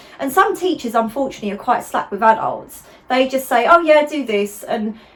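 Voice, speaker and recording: Noticeable background noise runs under this clip. A woman speaks at a fairly quick pace. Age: 30s. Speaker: pointe shoe fitter and video host. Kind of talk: casual interview chat.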